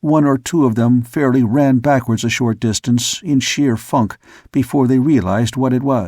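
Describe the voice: The text is read aloud plainly. Its intonation is fairly even.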